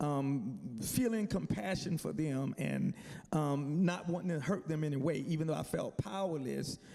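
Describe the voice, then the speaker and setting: A man with a Southern US accent speaks at a fairly high pitch in a dark, mellow tone with ordinary pitch variation. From US South, South Carolina. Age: 60s. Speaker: military chaplain, panelist. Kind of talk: testimony. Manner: halting, with many fillers.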